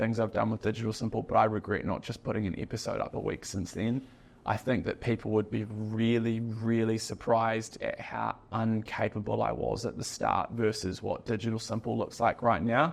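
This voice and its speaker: A man's medium-pitched voice with a New Zealand accent, monotone and flat, with vocal fry, at a fairly quick pace with hardly any pauses, over a quiet background. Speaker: business founder, podcast guest. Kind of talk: casual chat. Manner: many filler words, unfinished sentences.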